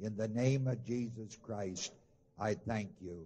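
A man speaks at a fairly slow pace, his voice somewhat breathy. His tone is dark and mellow, with ordinary pitch variation. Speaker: minister opening a gathering. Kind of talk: sermon. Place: stage.

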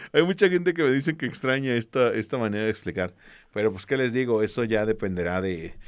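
Against a quiet background, a man speaks at a very fast pace with very wide pitch swings. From Mexico. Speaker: history teacher for exam prep; history teacher streamer. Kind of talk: online class with livestream greetings. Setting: live stream. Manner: casual, with many fillers. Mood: warm, encouraging. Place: home room. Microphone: studio mic.

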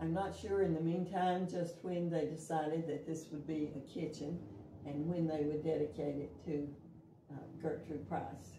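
The speech keeps a moderate pace and fairly even intonation over noticeable background noise. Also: woman, very deep, low pitch for a woman. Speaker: interviewee. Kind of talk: interview answer. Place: kitchen. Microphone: camera far.

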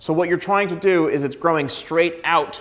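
In a quiet background, a man talks at a moderate pace with fairly even intonation. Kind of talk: tutorial. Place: studio. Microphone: lapel.

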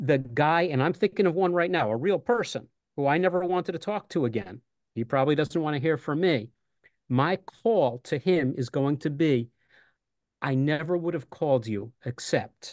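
A man with an American accent and a fairly high pitch speaks at a moderate pace with lively intonation over a quiet background. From New York City. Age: 60s. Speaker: retired teacher, union candidate. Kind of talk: casual chat. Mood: earnest, persuasive. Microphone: video call.

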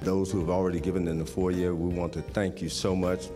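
Over clear music in the background, a man speaks with a very deep, low pitch. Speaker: minister leading the offering. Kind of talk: church offering appeal and prayer. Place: church. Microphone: podium.

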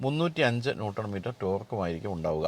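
This man has a plain, everyday voice with a fairly low pitch. The sound is dry, with no echo. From Kerala, India. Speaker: automotive journalist and vlogger; automotive journalist, vlogger. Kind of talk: Q&A vlog with news and sponsor segment. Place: car. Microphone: lapel.

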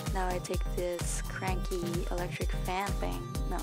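Loud music plays in the background. Over it, a woman talks at a fairly slow pace. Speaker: college student. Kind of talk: casual makeup tutorial narration. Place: home room. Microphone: webcam.

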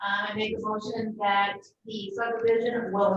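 A woman with a fairly high pitch, at a moderate pace. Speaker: planning board chair. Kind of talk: public meeting. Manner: loud.

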